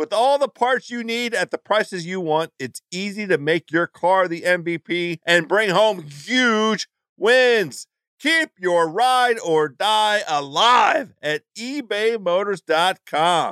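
Recorded very cleanly against a silent background, with a dry, close sound and no echo, a man speaks very slowly in a high, bright, sharp voice with lively intonation. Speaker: podcast host. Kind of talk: casual chat.

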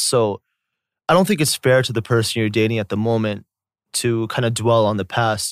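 In a normal speaking voice with an American accent, someone talks at a fairly quick pace, with a dry, close sound with no echo on a very clean recording with a silent background. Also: man. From US South. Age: 30s. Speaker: YouTuber. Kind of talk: casual chat.

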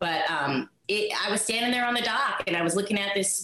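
An unremarkable speaking voice from a woman with an American accent, lively intonation and a moderate pace. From Washington State, island near Seattle. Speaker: former cheerleader and actor. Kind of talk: interview storytelling.

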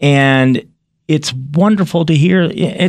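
A man with a fairly high pitch, ordinary pitch variation and a very slow pace. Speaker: podcast host. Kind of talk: interview.

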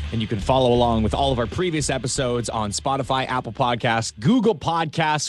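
In a Canadian accent, a man talks at a fairly quick pace with lively intonation. It is a normal speaking voice on a very clean recording with a silent background. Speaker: podcast host. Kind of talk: podcast banter about hockey.

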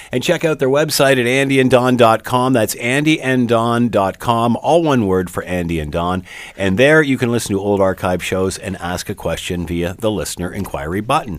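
A normal speaking voice with a Canadian accent, lively intonation, a moderate pace and hardly any pauses. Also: man, medium pitch for a man. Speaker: radio host. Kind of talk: radio talk show. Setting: studio.

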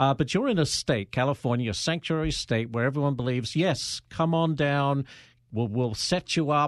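A man with an American accent has an unremarkable speaking voice, a fairly high pitch and ordinary pitch variation at a moderate pace. His loudness is very even, and the recording is very clean, with a silent background and a dry, close sound with no echo. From outside the US. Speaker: podcast host and journalist. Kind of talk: casual interview. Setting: studio.

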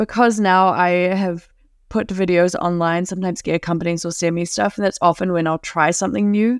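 In a slight New Zealand accent, a woman talks at a fairly quick pace with a medium pitch, a relaxed tone and fairly even intonation. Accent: mild New Zealand. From New Zealand, Auckland. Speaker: adventure filmmaker and thru-hiker. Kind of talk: casual chat. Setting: remote call.

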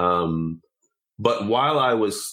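The speaker uses a normal speaking voice with ordinary pitch variation. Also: man. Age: 30s. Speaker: software engineer and card game creator. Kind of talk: casual interview.

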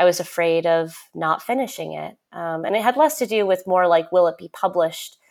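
The tempo is moderate. It is an unremarkable speaking voice. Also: woman, very clean recording, silent background. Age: 30s. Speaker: novelist. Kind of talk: interview.

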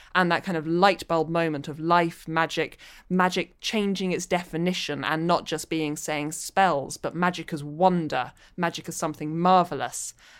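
A woman with a London accent talks at a moderate pace in a fairly low pitch. Her intonation is fairly even, and the recording is very clean with a silent background. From London, England. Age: 30s. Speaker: novelist. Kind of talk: interview.

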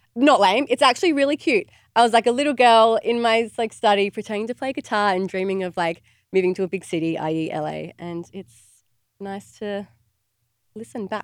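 With an Australian accent, a woman speaks at a moderate pace and a fairly high pitch, her intonation lively and her loudness swinging widely, in a dry, close recording with no echo and a silent background that is very clean. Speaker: podcast co-host. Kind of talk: casual chat.

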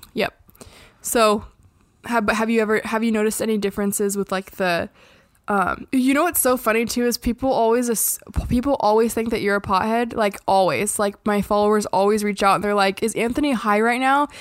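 A woman with a normal speaking voice talks at a fairly quick pace in a fairly high pitch. Her loudness stays very even and her intonation fairly even. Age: 20s. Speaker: podcast co-host. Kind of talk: casual chat.

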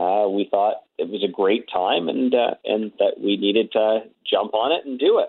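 A man speaks in a plain, everyday voice, fairly low in pitch, with ordinary pitch variation at a moderate pace. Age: 30s. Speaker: record store chain executive. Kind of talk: phone interview. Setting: phone call.

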